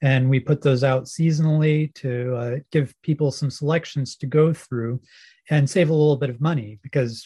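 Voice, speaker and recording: A somewhat breathy voice with a dark, mellow tone and an American accent, fairly even intonation and a moderate pace, dry and close with no echo over a quiet background. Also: man. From US (Pennsylvania, Alabama, Oregon, Indiana). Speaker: hymn text writer and music editor. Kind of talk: interview.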